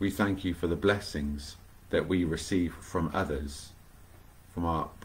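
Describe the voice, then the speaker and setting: The voice has a warm tone, somewhat breathy, moving at a fairly slow pace with fairly even intonation. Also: man. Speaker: vicar leading online prayer. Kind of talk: fervent prayer, live-streamed devotional. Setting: home, livestream video. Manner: earnest, warm, devout. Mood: calm, reverent. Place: home room. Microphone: webcam.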